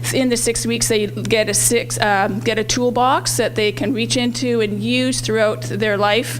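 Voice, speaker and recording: Moderate pace, very even loudness and hardly any pauses, against noticeable background noise. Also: woman. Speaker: health program trainer. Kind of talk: presentation at community event. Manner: halting, many fillers.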